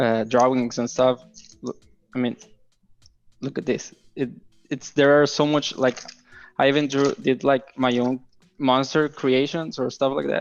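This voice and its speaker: Someone with a Spanish accent talks at a fairly slow pace with fairly even intonation, leaving long, frequent pauses. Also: man, medium pitch for a man. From Mexico. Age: 20s. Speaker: game developer. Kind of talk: casual interview. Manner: halting, many fillers.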